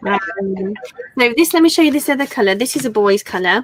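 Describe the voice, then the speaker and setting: This is a woman speaking. She talks with an English accent. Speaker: crafter and online seller. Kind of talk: live stream chat with product show. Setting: live stream. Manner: telephone voice on streams.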